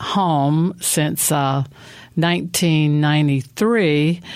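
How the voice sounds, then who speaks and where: A woman's very deep, low voice, fairly even in intonation, at a very slow pace. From Mississippi. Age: 60s. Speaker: traveler and pilgrimage trip leader. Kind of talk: interview. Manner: halting, many fillers.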